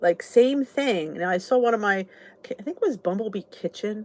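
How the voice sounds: A woman with a Southern New Jersey accent and lively intonation. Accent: southern New Jersey American.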